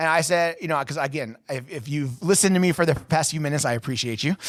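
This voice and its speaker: A fairly high-pitched male voice at a fairly quick pace, with ordinary pitch variation. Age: 30s. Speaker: podcast host and inspirational speaker. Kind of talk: personal testimony. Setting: studio. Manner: fast.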